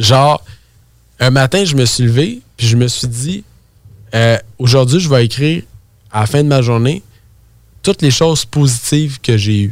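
A man with a Quebec accent and a medium pitch speaks in an animated tone at a fairly slow pace, with ordinary pitch variation and long, frequent pauses. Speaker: real estate entrepreneur. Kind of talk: casual interview chat.

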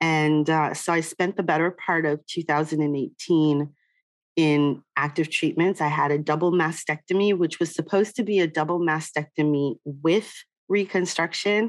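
With a plain, everyday voice, a woman speaks at a fairly low pitch and fairly slow pace, with fairly even intonation and very even loudness over a quiet background. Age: 50s. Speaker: diversity and inclusion consultant. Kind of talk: interview. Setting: video call.

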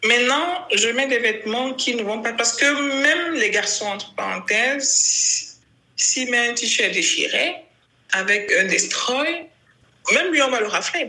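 Projecting a raised voice, a woman speaks very slowly with lively intonation and a high pitch. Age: 30s. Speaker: LGBT rights activist. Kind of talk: interview.

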